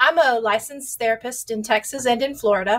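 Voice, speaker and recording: A woman with a strong Southern US accent speaks at a fairly quick pace in a high pitch, her intonation fairly even. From US South. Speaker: sex therapist. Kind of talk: interview. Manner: loud.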